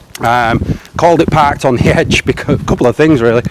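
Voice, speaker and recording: Fairly quick male speech with ordinary pitch variation over noticeable background noise. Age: 40s. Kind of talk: casual talk to camera. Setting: outdoors.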